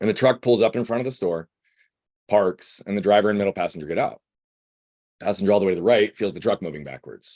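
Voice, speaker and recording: An energetic tone at a very fast pace, broken by long, frequent pauses, with ordinary pitch variation and a dry, close sound with no echo. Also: man, fairly low pitch for a man. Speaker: guest speaker, breathwork coach. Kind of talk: casual group-call talk, personal story.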